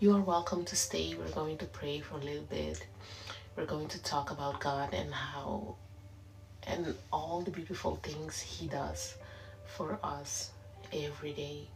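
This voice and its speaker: A woman with a very deep, low voice talks at a fairly slow pace. Her pitch swings very widely, and audible room echo surrounds her. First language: Papiamento. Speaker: online prayer leader. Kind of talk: livestream prayer and exhortation. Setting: live stream. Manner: simple, careful English.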